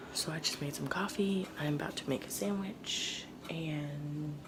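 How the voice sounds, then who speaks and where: A woman whispers at a fairly slow pace. Audible room echo and noticeable background noise surround her voice. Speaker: nursing student vlogger. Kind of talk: casual vlog. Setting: on the way to school.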